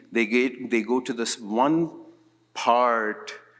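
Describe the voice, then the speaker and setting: Very slow speech from a man at a medium pitch. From India. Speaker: psychiatrist. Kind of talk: conference lecture. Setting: conference stage with audience. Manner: soft-spoken.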